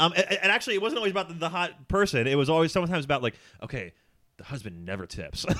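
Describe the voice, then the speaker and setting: A man with an American accent talks at a very fast pace in a bright, sharp tone, his fairly high pitch swinging very widely and dipping into vocal fry, on a very clean recording with a silent background. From Philadelphia, US. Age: 30s. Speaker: writer and former school counselor. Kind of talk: casual chat.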